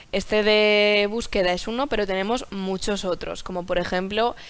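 A woman with fairly even intonation. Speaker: presenter. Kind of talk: lecture. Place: studio.

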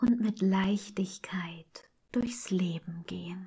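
Slowly and calmly, a woman speaks in a somewhat breathy, dark, mellow, soothing voice at medium pitch with ordinary pitch variation. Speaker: meditation guide. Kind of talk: guided meditation. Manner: calm, soothing.

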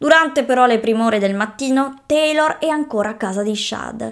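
A high-pitched woman speaks at a moderate pace with lively intonation against a quiet background. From Italy. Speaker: true crime YouTuber. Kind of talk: true-crime narration, scripted-style storytelling to camera. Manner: serious, measured storytelling tone with shocked emphasis; direct, addressing viewers as friends. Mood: serious, storytelling. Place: home room. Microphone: studio mic.

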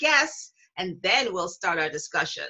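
Over a quiet background, a woman talks at a moderate pace. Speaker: show host. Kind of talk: online show presentation. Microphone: webcam.

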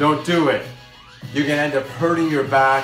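A man speaks with audible room echo while clear music plays in the background. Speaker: fitness trainer. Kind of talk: tutorial. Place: home room. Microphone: phone near.

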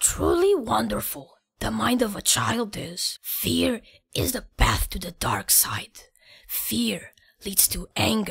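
A woman uses a put-on character voice. She speaks at a fairly slow pace. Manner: inverted wise sayings.

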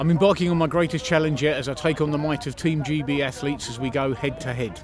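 Over music in the background, a man talks at a fairly quick pace in a fairly high pitch with ordinary pitch variation. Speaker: fastest talker, world record holder. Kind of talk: promo narration.

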